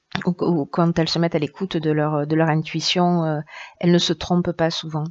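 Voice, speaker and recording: A woman speaks at a fairly low pitch in a monotone, flat intonation. Her moderate pace comes through a dry, close sound with no echo. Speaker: tarot reader. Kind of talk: tarot reading. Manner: hesitant, many fillers.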